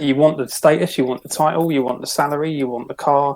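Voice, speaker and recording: Speaking with a London accent, a man uses a fairly high pitch. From London, Croydon. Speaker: minimalist author. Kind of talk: podcast interview.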